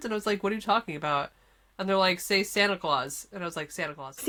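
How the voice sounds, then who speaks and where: With a Californian accent and a bright, sharp tone, a woman speaks at a medium pitch and a very fast pace. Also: ordinary pitch variation. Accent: California. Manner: incredulous, casual.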